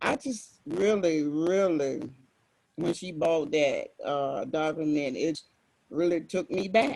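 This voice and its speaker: Speaking in a Southern US accent, a man talks at a very slow pace with long, frequent pauses. His pitch is high, with ordinary variation. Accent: Southern American. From US South, Alabama. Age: 60s. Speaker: event attendee. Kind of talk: personal testimony.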